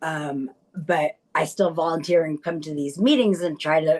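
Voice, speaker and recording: A woman is speaking. Her pace is moderate. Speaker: brain injury survivor. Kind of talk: testimony. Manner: halting.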